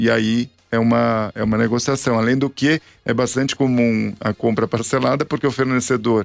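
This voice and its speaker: In a dry, close sound with no echo, a man of medium pitch speaks at a moderate pace with monotone, flat intonation and very even loudness. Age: 40s. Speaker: radio host. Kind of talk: radio talk show. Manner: halting.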